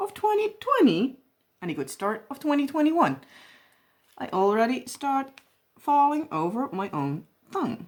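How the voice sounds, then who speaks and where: A woman with a strong Dutch accent speaks at a fairly slow pace, her high voice swinging very widely in pitch. She leaves long pauses, and they come often. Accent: heavy Dutch. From Netherlands. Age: 20s. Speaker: crafting YouTuber. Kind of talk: casual chat while crafting. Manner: rambling.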